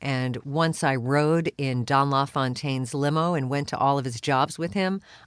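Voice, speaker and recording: On a very clean recording with a silent background, a woman with a very deep, low pitch talks at a moderate pace with fairly even intonation. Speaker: voice actor. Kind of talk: interview answer.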